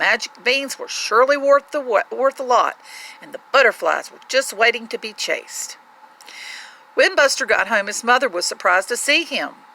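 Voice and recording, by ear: Heard dry and close with no echo, a woman speaks at a fairly high pitch with vocal fry, lively intonation and a bright, sharp tone. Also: moderate pace.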